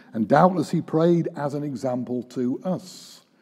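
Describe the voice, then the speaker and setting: The background is quiet. A man talks in a dark, mellow tone. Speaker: preacher. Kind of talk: sermon. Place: church. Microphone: podium.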